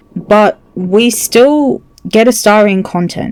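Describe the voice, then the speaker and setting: A woman talks with lively intonation. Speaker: gaming video creator. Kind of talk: video essay commentary. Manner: slow.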